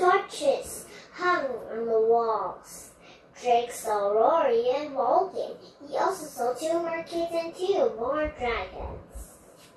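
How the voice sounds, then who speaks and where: A woman speaks at a very slow pace with a high pitch and very wide pitch swings. There is slight echo. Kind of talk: read-aloud storybook. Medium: read story. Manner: halting, self-correcting.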